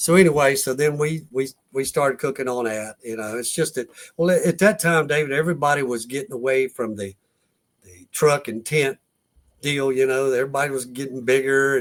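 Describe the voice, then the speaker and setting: A man's fairly high, fairly quick voice, a normal speaking voice with ordinary pitch variation and big swings in loudness, in a very clean recording with a silent background. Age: 60s. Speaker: competition barbecue cook. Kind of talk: casual chat.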